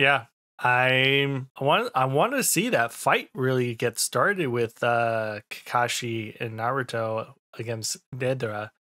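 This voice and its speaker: Speaking at a fairly slow pace, the man shows ordinary pitch variation over a quiet background. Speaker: anime reaction content creator. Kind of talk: casual episode review commentary. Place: home room. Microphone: studio mic.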